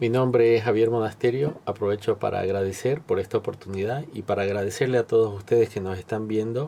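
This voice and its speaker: Speaking at a fairly quick pace, a man has a medium-pitched voice with a dark, mellow tone and fairly even intonation. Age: 60s. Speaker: cattle rancher and parish volunteer. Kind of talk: testimony interview.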